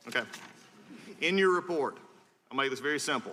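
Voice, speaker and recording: Very fast and with ordinary pitch variation, a man speaks in an American accent. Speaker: congressman. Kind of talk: congressional hearing questioning. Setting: hearing room.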